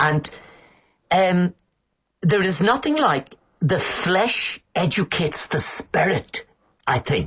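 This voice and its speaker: A man with a high pitch speaks very slowly with lively intonation, very even loudness, and long, frequent pauses. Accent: Irish. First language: Irish. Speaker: poet. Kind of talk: interview. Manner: halting, hesitant.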